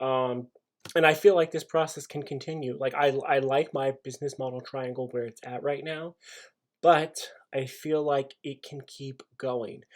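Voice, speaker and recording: On a very clean recording with a silent background, a man with a fairly high pitch keeps his intonation fairly even as his loudness swings widely. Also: moderate pace. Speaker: business student. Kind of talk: class video presentation.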